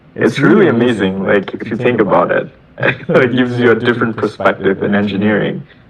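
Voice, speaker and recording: A man speaks at a fairly quick pace with a medium pitch and ordinary pitch variation. Noticeable background noise is present. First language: Bengali. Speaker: software engineer. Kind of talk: casual chat. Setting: video call. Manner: halting, repeats words.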